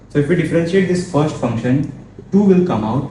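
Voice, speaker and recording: The room echo is easy to hear, and the pitch rises and falls in a normal way. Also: man. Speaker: maths tutor. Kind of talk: tutorial.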